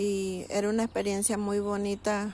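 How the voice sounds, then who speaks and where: At a fairly slow pace, a woman speaks in a Chiriquí Panamanian accent. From Panama, Chiriquí (Bugaba). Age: 60s. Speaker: interviewee recalling childhood. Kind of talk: personal testimony. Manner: conversational, with hesitations.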